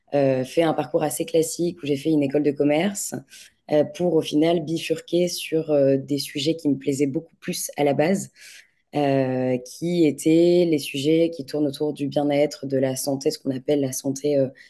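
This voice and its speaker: This woman's very deep, low voice has a dark, mellow tone, fairly even intonation and a moderate pace. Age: 20s. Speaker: entrepreneur, supplement lab founder. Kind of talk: casual interview. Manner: hesitant, many fillers.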